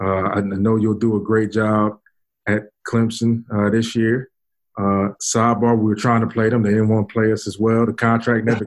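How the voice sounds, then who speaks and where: Speaking in a New York accent, a man with a fairly low pitch keeps a monotone, flat intonation at a moderate pace. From Brooklyn, New York. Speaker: podcast host. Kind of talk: casual chat.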